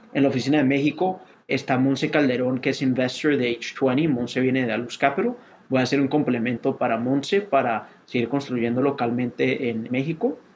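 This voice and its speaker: Holding a very even loudness, a man with an unremarkable speaking voice talks at medium pitch and a moderate pace with fairly even intonation. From Colombia. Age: 30s. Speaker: venture capital investor. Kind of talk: interview.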